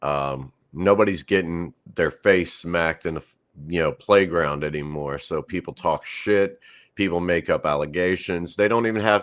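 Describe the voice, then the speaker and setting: Against a quiet background, a man with an American accent speaks at a moderate pace, his very deep, low pitch showing ordinary variation. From US, Appalachia (West Virginia/Kentucky). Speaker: metal band vocalist. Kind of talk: casual interview chat.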